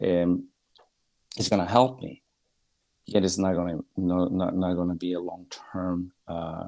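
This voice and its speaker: A man with a Spanish accent, very deep and low in pitch, with a dark, mellow tone, fairly even intonation, a fairly slow pace and long, frequent pauses. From Bolivia. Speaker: guest. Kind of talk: casual discussion. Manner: halting.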